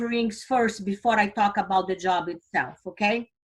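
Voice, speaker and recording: A woman speaks with a Brazilian Portuguese accent. Her pace is fairly slow. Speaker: financial company vice president. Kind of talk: recruitment presentation. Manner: enthusiastic.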